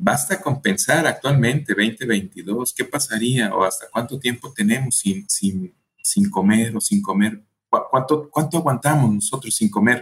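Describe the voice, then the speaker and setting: Speech comes at a fairly slow pace and is somewhat breathy. The intonation is lively. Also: man, medium pitch for a man. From Mexico, Colima. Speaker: historian and author. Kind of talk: interview. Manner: halting, with frequent fillers.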